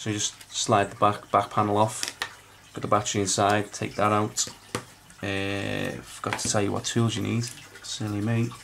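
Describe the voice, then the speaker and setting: A man talks with a Liverpool accent and fairly even intonation. Noticeable background noise is present. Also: moderate pace. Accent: Liverpool (Scouse). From northern England, Liverpool. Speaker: phone repair technician. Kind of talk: tutorial. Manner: halting, many fillers.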